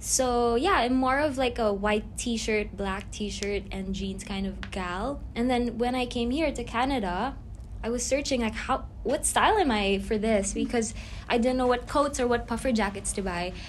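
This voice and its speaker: This woman's fairly high voice carries vocal fry, with ordinary pitch variation at a moderate pace. Audible room echo surrounds her. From Philippines. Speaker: fashion brand owner and student. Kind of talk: casual chat.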